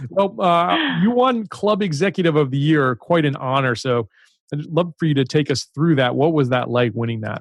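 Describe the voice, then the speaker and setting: A man with a slight Baltimore accent talks at a moderate pace with lively intonation, in a dry, close sound with no echo. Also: fairly high pitch for a man. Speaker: podcast host. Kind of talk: interview.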